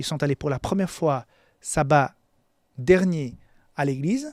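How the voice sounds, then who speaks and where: Recorded very cleanly with a silent background and a dry, close sound with no echo, a man with a fairly high pitch speaks at a moderate pace. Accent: non-native. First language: not French (speaking French). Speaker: pastor. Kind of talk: Bible lesson sermon. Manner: halting, frequent repetitions.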